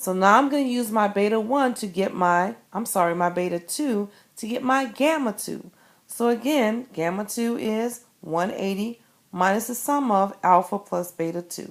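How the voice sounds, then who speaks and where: This woman has an unremarkable speaking voice, fairly high in pitch with ordinary pitch variation, at a moderate pace. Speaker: math teacher. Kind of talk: tutorial. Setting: screencast recorded on an iPad.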